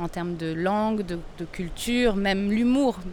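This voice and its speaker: Pitch varies in an ordinary way as the words come out fairly slowly. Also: woman. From Portugal (Lisbon), French family. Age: 40s. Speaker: traveller. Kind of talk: interview testimony. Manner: hesitant, with fillers.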